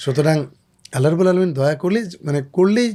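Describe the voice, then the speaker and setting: In a very clean recording with a silent background, a man's dark, mellow voice sits at a fairly high pitch with ordinary pitch variation. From Bangladesh, Faridpur. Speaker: Islamic singer. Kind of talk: interview.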